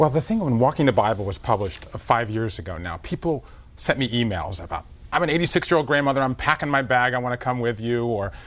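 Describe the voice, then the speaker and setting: Lively in intonation, a man of medium pitch with an American accent speaks at a very fast pace. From US South. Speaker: author and documentary host. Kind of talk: TV morning show interview.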